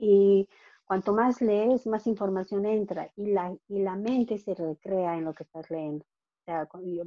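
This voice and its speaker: A woman's dark, mellow tone with ordinary pitch variation, dry and close with no echo, over a quiet background. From Bolivia. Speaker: financial coach. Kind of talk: interview. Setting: call.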